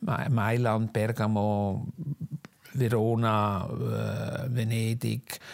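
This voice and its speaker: Fairly low-pitched male voice with monotone, flat intonation. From Switzerland, Zug. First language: Swiss German (speaking German). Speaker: costume designer and fashion historian. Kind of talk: interview, life story. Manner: halting, many fillers.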